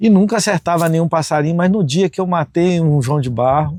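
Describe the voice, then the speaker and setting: This man has an unremarkable speaking voice, fairly high in pitch with ordinary pitch variation, at a moderate pace. The recording is very clean, with a silent background. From Brazil, northeastern Goiás. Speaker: farm owner, conservationist. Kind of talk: interview testimony.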